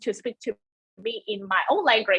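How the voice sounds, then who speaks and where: A woman speaks with a Cantonese accent. Her pitch is fairly high. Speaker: webinar presenter. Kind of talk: webinar presentation. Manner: halting.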